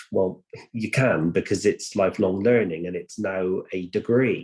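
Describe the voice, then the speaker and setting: The speaker has a West Country accent. The intonation stays fairly even. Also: man. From Bristol, South West England. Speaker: apprenticeship training provider, panellist. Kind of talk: online panel discussion. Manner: hesitant, many fillers and repeats.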